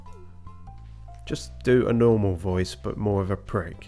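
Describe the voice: Reading aloud, plainly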